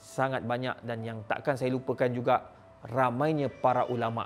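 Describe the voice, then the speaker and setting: A man is speaking at a moderate pace. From Malaysia. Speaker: Islamic scholar, professor; professor. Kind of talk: address to audience. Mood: nostalgic, sorrowful. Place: studio. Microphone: lapel.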